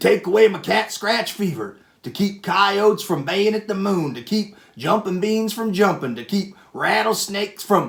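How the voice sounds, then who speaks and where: Putting on a character voice, a man growls in a gruff, high-pitched tone, moving at a moderate pace with ordinary pitch variation. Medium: read story. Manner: gruff, grumbling.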